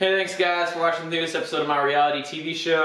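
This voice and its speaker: A man talks at a fairly quick pace with fairly even intonation. There is audible room echo. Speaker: vlogger. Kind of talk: casual vlog sign-off. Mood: playful, mock-serious. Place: home room. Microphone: camera far.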